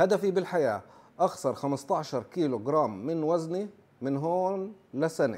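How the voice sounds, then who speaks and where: A man's fairly high voice, fairly slow in pace, with lively intonation. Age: 40s. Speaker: nurse and YouTuber; YouTuber. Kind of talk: informal explainer video. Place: home room. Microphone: lapel.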